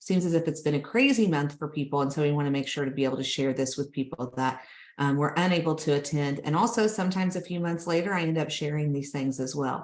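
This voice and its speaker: A woman talks at a very fast pace with hardly any pauses. Her pitch is very deep and low, with ordinary variation. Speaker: healthcare grant consultant. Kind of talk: webinar presentation.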